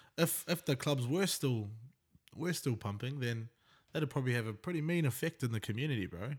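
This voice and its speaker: In a very clean recording with a silent background, a man with a New Zealand accent talks at a fairly quick pace, his medium-pitched voice carrying lively intonation. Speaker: podcast host. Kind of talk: casual chat.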